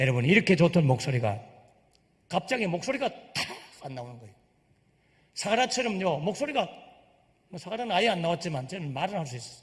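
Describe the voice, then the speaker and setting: A man's high-pitched voice at a very fast pace, with very wide pitch swings. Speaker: pastor. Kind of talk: sermon. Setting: church. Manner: animated.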